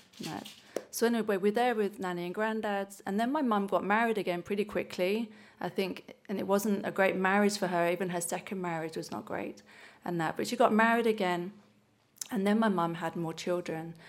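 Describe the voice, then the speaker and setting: The speaker has an English accent and fairly even intonation. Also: woman, medium pitch for a woman. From England. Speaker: church member sharing testimony. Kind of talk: testimony. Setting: church service.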